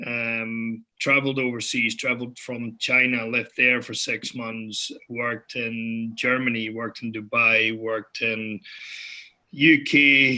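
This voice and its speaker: This man talks at a fairly slow pace with a Dutch accent. His medium-pitched voice is bright and sharp, with monotone, flat intonation. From Netherlands. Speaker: entrepreneur. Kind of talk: panel discussion.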